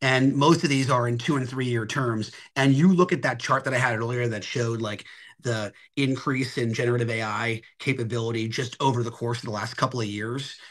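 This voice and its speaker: A man with an American accent speaks at a fairly quick pace and with fairly even intonation. Audible room echo surrounds his voice. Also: medium pitch for a man. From Philadelphia, US Northeast. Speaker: technology advisor. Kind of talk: Q&A answer in webinar town hall.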